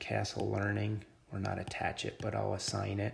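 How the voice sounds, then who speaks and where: A man is talking at a moderate speed. Background noise is clearly present behind him. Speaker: teacher. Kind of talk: lecture. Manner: casual.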